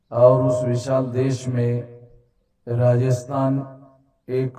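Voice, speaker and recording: Monotone, flat intonation from a man with a dark, mellow tone. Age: 60s. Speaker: activist organization leader. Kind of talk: public speech. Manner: formal.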